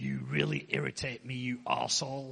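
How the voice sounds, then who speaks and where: A man puts on a character voice, very deep and low in pitch. He talks at a fairly quick pace. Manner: irritated.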